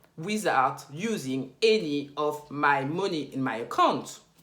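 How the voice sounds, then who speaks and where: A woman speaks with a French accent. Room echo is audible. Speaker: finance YouTuber. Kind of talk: tutorial.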